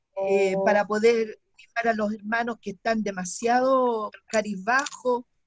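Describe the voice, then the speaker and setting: Delivery is fairly slow. Intonation stays monotone and flat throughout. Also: woman, fairly high pitch for a woman. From Chile, Santiago. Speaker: online Bible class student. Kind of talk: self-introduction in online class.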